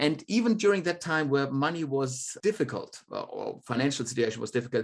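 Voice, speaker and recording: A fairly high-pitched man's voice in a German accent, with ordinary pitch variation. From Germany. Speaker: demographer. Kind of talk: podcast interview.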